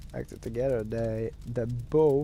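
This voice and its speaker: The accent is non-native. Delivery runs at a medium tempo. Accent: non-native English speaker. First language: Norwegian. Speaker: gaming streamer. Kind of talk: gameplay commentary with reading aloud. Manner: halting, many fillers.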